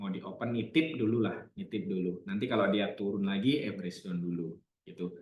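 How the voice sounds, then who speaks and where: A man's fairly low, somewhat breathy voice at a fairly quick pace, with ordinary pitch variation. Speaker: trading analyst. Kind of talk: live trading webinar. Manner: casual.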